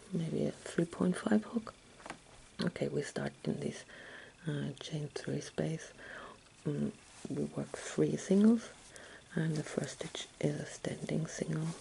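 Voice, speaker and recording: Over light background noise, a woman speaks at a very slow pace with long, frequent pauses. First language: German. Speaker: crochet tutor. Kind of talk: tutorial. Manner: halting, with many fillers. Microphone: phone near.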